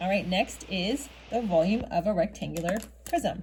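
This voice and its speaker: Speaking at a medium pitch, a woman uses lively intonation with vocal fry. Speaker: math teacher. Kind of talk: tutorial. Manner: fast.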